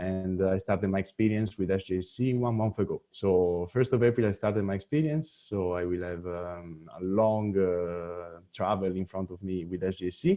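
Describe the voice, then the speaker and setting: Hardly pausing, a man with an Italian accent talks at a moderate pace in a very deep, low voice with ordinary pitch variation. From Italy, near Venice. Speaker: deputy executive director of a space youth organization. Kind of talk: webinar presentation.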